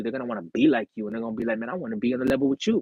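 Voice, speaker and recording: This man sounds animated, with lively intonation. His pitch sits in the medium range for a man. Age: 30s. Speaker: livestreamer. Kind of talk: casual livestream chat. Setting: live stream. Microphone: earphone mic issue.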